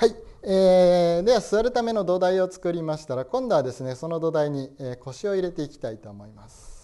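Over a quiet background, a man talks at a fairly quick pace in a high, dark, mellow voice. His intonation is lively, and his loudness swings widely. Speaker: Zen priest leading meditation. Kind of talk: guided meditation with spoken instruction. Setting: meditation session for an audience. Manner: formal, polite, with frequent fillers. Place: hall.

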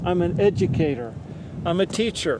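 A man talks at a moderate pace in an American accent. The sound is dry with no echo, though background noise is noticeable. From Trinity County, Northern California. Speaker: ethnobotanist and herbalist educator. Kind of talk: casual talk to camera. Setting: outdoors. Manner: humble. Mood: humble and warm. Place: open country. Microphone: phone near.

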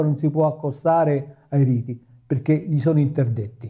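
Somewhat breathy with a dark, mellow tone, a man speaks at a fairly high pitch with ordinary pitch variation. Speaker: yoga teacher. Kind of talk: lecture. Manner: halting.

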